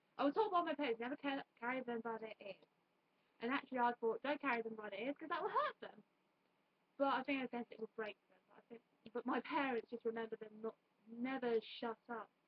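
Her high-pitched voice moving with ordinary variation, a woman talks at a fairly quick pace. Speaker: YouTuber. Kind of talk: casual vlog monologue. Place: home room. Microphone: webcam.

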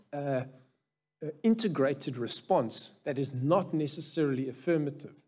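A somewhat breathy man speaks with ordinary pitch variation. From South Africa. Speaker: anaesthetist and medical researcher speaking at a church conference; conference speaker. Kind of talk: conference talk. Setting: stage with audience. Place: church. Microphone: headset.

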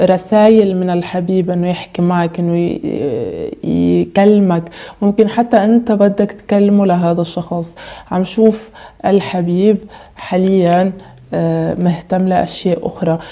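A woman at a very slow pace, with ordinary pitch variation. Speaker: tarot reader. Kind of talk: tarot reading monologue.

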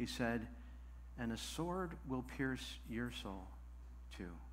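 Over light background noise, a man talks at a very slow pace. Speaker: preacher. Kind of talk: sermon. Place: church. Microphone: headset.

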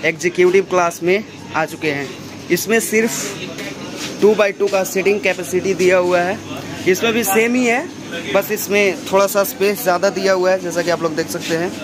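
Clear music plays behind a man who speaks fairly slowly. His voice is high, with ordinary pitch variation. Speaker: travel vlogger. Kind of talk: casual vlog chat. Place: train. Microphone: phone near.

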